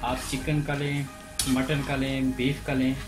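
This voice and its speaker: The speech moves at a fairly slow pace. Clear music plays in the background. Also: man. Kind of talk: tutorial. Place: kitchen. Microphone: phone near.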